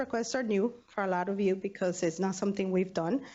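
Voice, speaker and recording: A woman's voice sits at a medium pitch. She talks at a moderate pace. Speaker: university student affairs budget staff. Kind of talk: training presentation.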